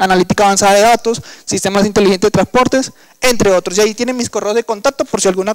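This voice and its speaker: The voice comes at a very fast pace with ordinary pitch variation, and the sound is dry and close with no echo. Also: man. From Colombian Caribbean coast. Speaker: engineer and workshop instructor. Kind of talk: lecture. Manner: hesitant, with fillers.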